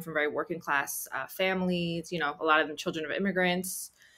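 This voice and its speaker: Speaking at a fairly quick pace, a woman with a fairly low pitch talks in a New Jersey accent. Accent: US Northeast (New Jersey). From Central New Jersey, Cuban American family. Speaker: writer and actor. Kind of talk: interview conversation. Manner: hesitant, many fillers.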